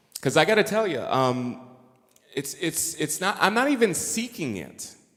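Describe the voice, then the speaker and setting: Vocal fry runs through this man's voice as it makes very wide pitch swings. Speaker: astrologer and musician. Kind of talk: conference talk. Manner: slow.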